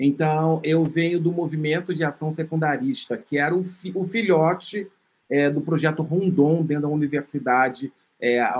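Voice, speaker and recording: Here is a man with a plain, everyday voice. He talks at a moderate pace and a fairly high pitch. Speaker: filmmaker and HIV researcher. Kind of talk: interview.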